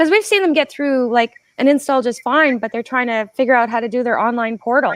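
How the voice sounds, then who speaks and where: Speaking at a fairly quick pace, a woman uses a high pitch and has a Canadian accent. The sound is dry and close with no echo against a quiet background. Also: ordinary pitch variation. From Canada. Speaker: podcast host and solar business owner. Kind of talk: casual interview chat.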